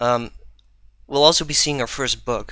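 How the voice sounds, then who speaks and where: A man speaks with a Dutch accent. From Netherlands. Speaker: programming conference speaker. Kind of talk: technical talk. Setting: live stream.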